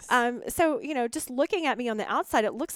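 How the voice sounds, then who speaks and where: A woman with ordinary pitch variation, on a very clean recording with a silent background and a dry, close sound with no echo. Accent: Southern US. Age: 40s. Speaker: guest sharing recovery story. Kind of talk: testimony.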